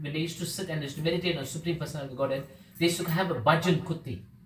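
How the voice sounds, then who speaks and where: Room echo can be heard. The speaker's intonation is fairly even. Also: man. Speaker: devotional class speaker. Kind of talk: religious class talk. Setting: devotee's home gathering. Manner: fast.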